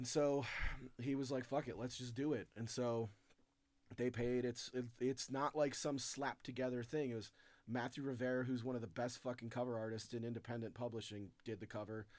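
With a plain, everyday voice, a man talks at a fairly quick pace in a medium pitch and fairly even intonation. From Chicago. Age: 40s. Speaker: comedian and author. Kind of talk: casual chat.

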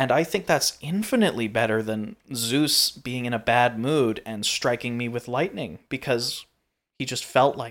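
Over a very clean recording with a silent background, a man with an ordinary speaking voice talks at a moderate pace and medium pitch. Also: ordinary pitch variation. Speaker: podcast co-host. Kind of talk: casual chat.

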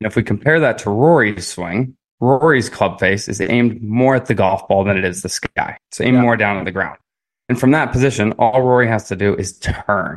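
A man's normal speaking voice at medium pitch, fairly quick in pace, with ordinary pitch variation over a quiet background. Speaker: golf coach. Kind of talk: casual chat.

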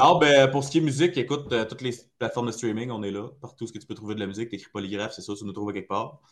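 A man at medium pitch and very fast pace, with ordinary pitch variation and big swings in loudness. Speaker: metal band vocalist. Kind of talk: casual interview.

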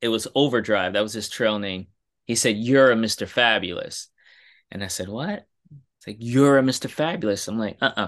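With a New York accent, a man speaks at a moderate pace and medium pitch with ordinary pitch variation, over a quiet background. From New York City, Brooklyn. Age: young. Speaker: writer and podcaster, hiker. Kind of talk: interview, casual storytelling.

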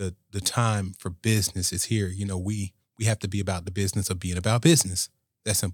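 A man's fairly low, somewhat breathy voice at a very fast pace with fairly even intonation, dry and close with no echo, in a very clean recording with a silent background. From Riviera Beach, Florida. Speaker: state senator. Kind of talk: casual interview conversation.

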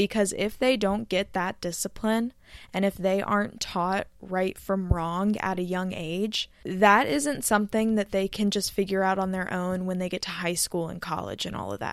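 A woman with an American accent and an ordinary speaking voice, medium pitch, fairly even intonation, moderate pace and hardly any pauses, on a very clean recording with a silent background. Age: 20s. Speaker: podcaster. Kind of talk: solo monologue podcast. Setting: recording at home in bed.

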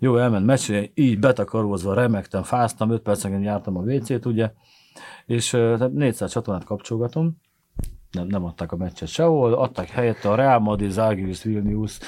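Heard on a very clean recording with a silent background, a man speaks at a moderate pace with a medium pitch, a dark, mellow tone and ordinary pitch variation. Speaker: comedian and football podcast co-host. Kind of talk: casual chat. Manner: animated.

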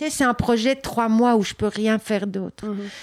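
Recorded very cleanly against a silent background, a woman talks at a fairly high pitch in a monotone, flat intonation. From Belgium. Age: 50s. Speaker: artist. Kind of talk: interview. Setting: artist's studio.

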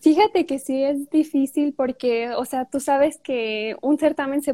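A dark, mellow tone in a dry, close recording with no echo. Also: woman, very clean recording, silent background. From Mexico, Michoacán. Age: 20s. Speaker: beauty pageant queen. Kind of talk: interview.

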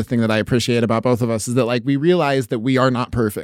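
A man talking at a very fast pace, medium pitch, ordinary pitch variation. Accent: American. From southeastern Oregon. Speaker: radio podcast host and comedian. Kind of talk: casual chat.

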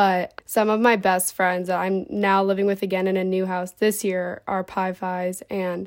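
Someone speaks at a moderate pace with an American accent. The delivery is flat and monotone, and the recording is very clean with a silent background. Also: woman. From Ohio, Cincinnati. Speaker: sorority recruitment officer, college student. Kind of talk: podcast segment, personal testimony.

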